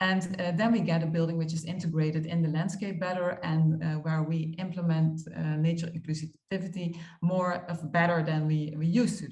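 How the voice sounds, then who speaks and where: A woman speaks at a fairly quick pace in a somewhat breathy voice with a fairly low pitch and monotone, flat intonation, with audible room echo. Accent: Dutch. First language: Dutch. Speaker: architect. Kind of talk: conference talk. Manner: halting, many fillers.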